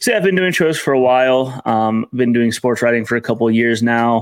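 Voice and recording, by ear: A man with an American accent at a fairly quick pace, intonation fairly even. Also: medium pitch for a man.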